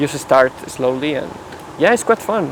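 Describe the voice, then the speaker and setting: Medium pitch from a man at a moderate pace, with noticeable background noise. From Mexico. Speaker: physics PhD student. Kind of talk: casual chat.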